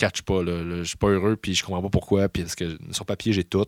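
A man's very fast speech with a Quebec accent, on a very clean recording with a silent background. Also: dry, close sound with no echo. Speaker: stand-up comedian. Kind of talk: casual chat.

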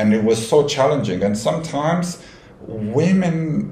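Very wide pitch swings in a Romanian accent, with noticeable background noise and audible room echo. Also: man. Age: 30s. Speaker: cabin crew. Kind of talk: casual chat. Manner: halting.

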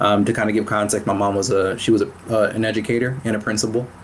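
Against noticeable background noise, a man with a fairly low pitch talks at a very fast pace. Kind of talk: casual interview chat. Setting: virtual recording, online call.

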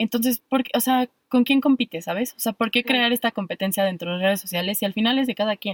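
The speaker has a Mexican accent. The sound is dry and close, with no echo, in a very clean recording over a silent background. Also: woman. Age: 20s. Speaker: podcast co-host, psychologist. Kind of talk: casual chat.

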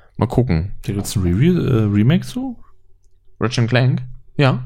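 Here is a man with an unremarkable speaking voice and medium pitch. He talks at a moderate pace. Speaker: podcast host. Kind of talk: casual chat. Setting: home recording, sitting side by side. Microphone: poor audio quality, less noise removal.

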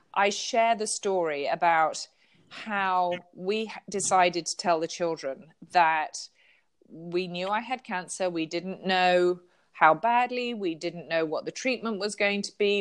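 A woman with an English accent speaks at a fairly slow pace, medium in pitch with ordinary pitch variation. The recording is very clean, with a silent background. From southern England. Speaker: author and pastor. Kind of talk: interview; reading aloud.

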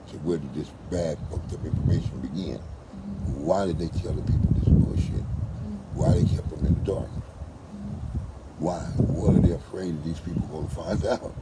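Very deep, low-pitched man at a moderate pace with hardly any pauses and ordinary pitch variation, amid audible room echo and noticeable background noise. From West Oakland, California. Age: 50s. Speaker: street dancer. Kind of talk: interview. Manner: repetitive, halting starts.

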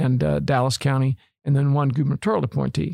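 A man with an unremarkable speaking voice, fairly high in pitch, with an American accent, a moderate pace and ordinary pitch variation, in a dry, close sound with no echo. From Arlington, Texas. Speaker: lawyer and former car dealer executive. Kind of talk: interview.

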